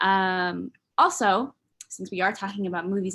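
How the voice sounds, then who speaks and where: In a very clean recording with a silent background, a woman speaks at medium pitch with an American accent. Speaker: student workshop host. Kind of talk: workshop presentation. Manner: fast.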